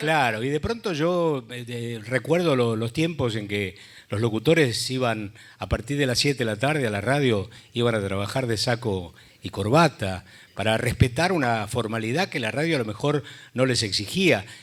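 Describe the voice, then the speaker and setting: At a moderate pace, a man speaks in an unremarkable speaking voice, medium in pitch with ordinary pitch variation. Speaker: radio announcer. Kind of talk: panel discussion.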